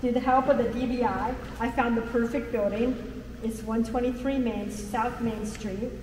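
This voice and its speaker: A woman's fairly high voice at a moderate pace with monotone, flat intonation, amid audible room echo and noticeable background noise. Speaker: chocolatier, small business owner. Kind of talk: business pitch.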